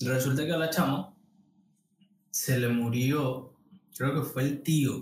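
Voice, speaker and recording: Very slow, with long, frequent pauses, a man speaks in a somewhat breathy voice at very even loudness and with ordinary pitch variation amid audible room echo. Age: 30s. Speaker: podcast co-host, graphic designer. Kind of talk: casual chat. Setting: studio.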